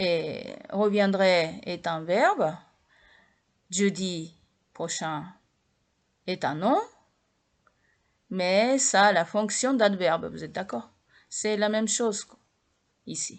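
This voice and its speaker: Over a quiet background, a woman speaks very slowly at a medium pitch with lively intonation, big swings in loudness and long, frequent pauses. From Japan. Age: 60s. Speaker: language teacher. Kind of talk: lecture. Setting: home video recording at night. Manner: halting.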